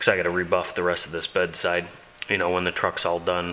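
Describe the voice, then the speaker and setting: A man talks in a very deep, low pitch. Background noise is noticeable. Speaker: auto body hobbyist. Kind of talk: casual video tutorial.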